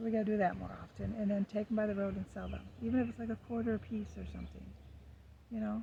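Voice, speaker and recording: A woman speaks at a very fast pace. Her voice is soft-spoken. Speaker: lifestyle vlogger. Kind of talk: casual chat. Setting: outdoors. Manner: hesitant.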